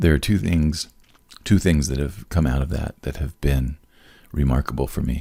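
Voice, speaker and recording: The tone is dark and mellow, with ordinary pitch variation. Delivery moves at a moderate pace. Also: man. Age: 60s. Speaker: podcast host. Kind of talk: casual chat. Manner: animated.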